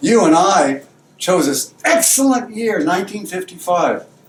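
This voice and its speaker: Over noticeable background noise, a man talks at a fairly slow pace with very wide pitch swings. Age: 60s. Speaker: friend giving a birthday tribute. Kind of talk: tribute speech.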